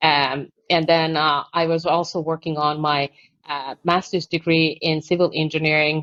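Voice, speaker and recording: A woman's very deep, flat monotone in a Finnish accent, at a moderate pace. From Finland. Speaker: architect and construction consultant, award recipient. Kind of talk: podcast interview.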